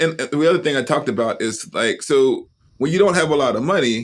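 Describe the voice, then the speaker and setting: Talking at a fairly quick pace, a man with an American accent has a fairly high pitch and ordinary pitch variation. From US South, Huntsville, Alabama. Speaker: seminary professor and author. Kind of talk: podcast interview.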